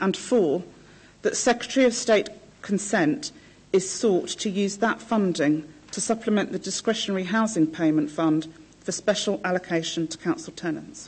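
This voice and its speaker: A woman speaks at a moderate pace in a somewhat breathy voice. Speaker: council housing officer; council officer presenting report. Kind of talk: presenting a report. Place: meeting room. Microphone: podium.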